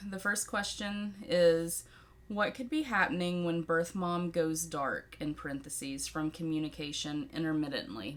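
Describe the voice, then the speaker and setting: With a Southern US accent, a woman speaks in lively intonation. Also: fairly low pitch for a woman, moderate pace. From Tennessee, US South. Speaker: podcaster and birth mother. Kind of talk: Q&A monologue. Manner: animated.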